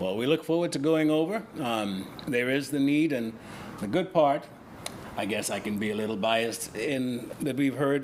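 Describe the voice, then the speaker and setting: A man with a Bahamian accent at medium pitch, moderate pace and ordinary pitch variation, against noticeable background noise. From Bahamas. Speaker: relief coordinator. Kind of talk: casual interview. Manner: halting.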